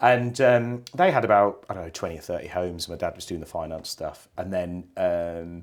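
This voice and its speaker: Fairly low-pitched man with a West Midlands accent, fairly quick pace and ordinary pitch variation, in a very clean recording with a silent background. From West Midlands, England. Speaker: care company chief executive. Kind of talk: interview. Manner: halting, many fillers.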